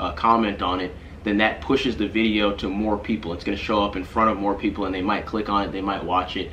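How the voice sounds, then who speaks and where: A man at a very fast pace, fairly low in pitch and fairly even in intonation, over light background noise. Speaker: vlogger. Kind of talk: casual vlog chat. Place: home room.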